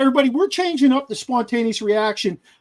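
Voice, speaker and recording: A man talks with a slight Pittsburgh accent and lively intonation. The sound is dry and close, with no echo. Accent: slight Pittsburgh accent, still noticeable. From Pittsburgh area, Pennsylvania. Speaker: sports podcast host. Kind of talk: casual chat. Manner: animated.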